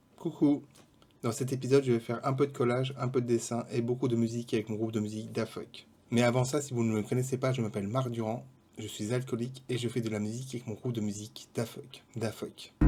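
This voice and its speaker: Speaking at a very fast pace, a man delivers his lines in a dark, mellow, somewhat breathy tone with flat, monotone intonation. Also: medium pitch for a man. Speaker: vlogger and musician. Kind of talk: casual vlog narration. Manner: fast, poorly articulated.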